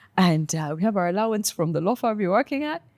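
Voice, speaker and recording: A woman with a Ugandan accent speaks in an animated tone with lively intonation. The recording is very clean and dry, with a silent background, a close sound and no echo. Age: 30s. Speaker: lawyer turned content creator. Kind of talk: interview conversation.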